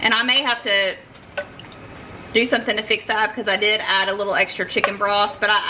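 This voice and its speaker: A woman with an American accent talks at a very fast pace and a fairly high pitch over noticeable background noise. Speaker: homesteading cooking vlogger. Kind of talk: cooking tutorial. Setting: home kitchen. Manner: casual, halting with fillers.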